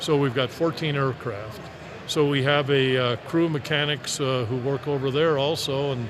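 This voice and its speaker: There is noticeable background noise behind a man speaking. His pitch is fairly high and his intonation fairly even. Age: 70s. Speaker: aviation business owner. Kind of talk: live interview. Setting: trade show floor.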